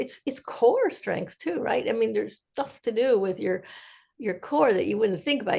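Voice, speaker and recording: A woman speaks at a fairly high pitch, with vocal fry in her voice. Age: 70s. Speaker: podcast co-host. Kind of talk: podcast interview.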